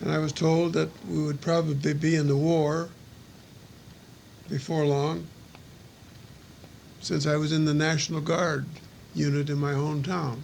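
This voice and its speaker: With an American accent, a man speaks at a moderate pace in a fairly high, monotone, flat voice at very even loudness, leaving long, frequent pauses amid audible room echo. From US Midwest. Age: 70s. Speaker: war veteran. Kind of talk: personal recorded reminiscence.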